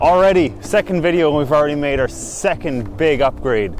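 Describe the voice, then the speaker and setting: A man speaks over noticeable background noise. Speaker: vlogger. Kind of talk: casual vlog. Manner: fast; loud.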